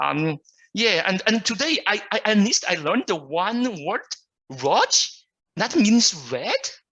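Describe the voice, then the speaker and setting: A man speaks very slowly in a high, bright, sharp voice that is raised and projected. His pitch swings very widely. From China. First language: Mandarin. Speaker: Toastmasters club guest. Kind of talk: self-introduction at online club meeting. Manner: halting, many fillers.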